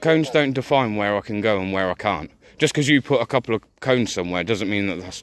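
A man talks at a very fast pace with lively intonation. The sound is dry with no echo, over light background noise. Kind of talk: confrontational argument. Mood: argumentative, assertive. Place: street. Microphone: phone near.

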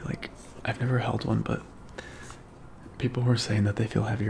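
The speaker, a man, whispers. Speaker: tech unboxing vlogger. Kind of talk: casual vlog chat. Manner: soft-spoken, quiet intimate voice. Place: home room. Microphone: studio mic.

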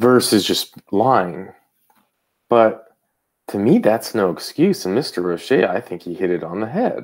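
Against a quiet background, a man with a fairly low pitch talks at a fairly slow pace with lively intonation. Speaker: YouTube commentator. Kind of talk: live stream commentary. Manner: casual, conversational. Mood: wry, critical. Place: home room. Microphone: earbuds.

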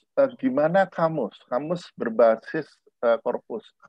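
Fairly slow speech with very wide pitch swings, a dry sound with no echo and a quiet background. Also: man. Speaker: linguistics professor. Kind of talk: lecture. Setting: video call. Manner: hesitant, many fillers; deliberately measured pace. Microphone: webcam.

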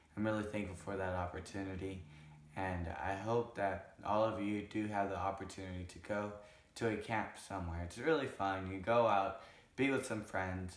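Audible room echo surrounds a man speaking at a moderate pace. His intonation is fairly even. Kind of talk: casual vlog talk. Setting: at home, on camera. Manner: halting.

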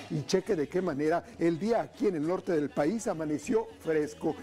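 A man keeps a moderate pace as faint background music plays. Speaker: TV cooking show host. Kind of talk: energetic TV presenter talk. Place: studio. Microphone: lapel.

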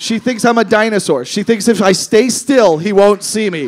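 A loud man with a high pitch, an animated tone and a fairly quick pace. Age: 30s. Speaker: comedian. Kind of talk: stand-up comedy with crowd work. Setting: stage with audience. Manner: animated, loud, irreverent, heckling audience members; fast, punchy, profane, with interjections and laughs. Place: stage. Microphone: handheld.

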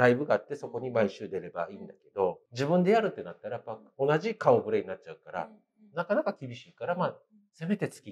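The voice belongs to a man. He talks at a fairly quick pace. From Japan. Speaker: comedian. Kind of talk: casual interview. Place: cafe.

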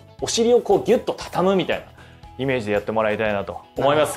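Music plays behind a man who talks at a very fast pace in an upbeat tone, his pitch swinging very widely. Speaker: voice actor; fitness show host. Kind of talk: workout instruction with counting. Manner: casual, upbeat. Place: studio.

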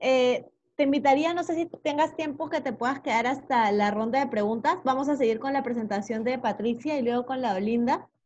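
There is light background noise behind this woman's high-pitched voice. She speaks with hardly any pauses. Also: ordinary pitch variation, moderate pace. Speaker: course facilitator, presenter. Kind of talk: moderated webinar. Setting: video call. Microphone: video call.

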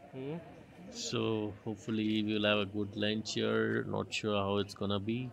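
Over light background noise, a man talks at a fairly slow pace in a fairly low pitch. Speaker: travel vlogger. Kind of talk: casual vlog chat. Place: open country. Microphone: phone near.

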